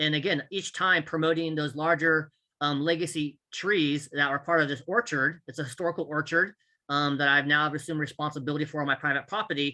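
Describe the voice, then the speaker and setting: Speaking with an American accent, a man with a fairly high voice talks at a fairly quick pace in a bright, sharp tone with fairly even intonation against a quiet background. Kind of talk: conference presentation. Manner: fast.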